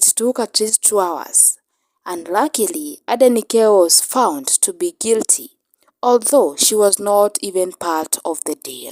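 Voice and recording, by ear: A woman speaks slowly at a medium pitch, her tone slightly mellow and her intonation lively. The sound is dry and close, with no echo.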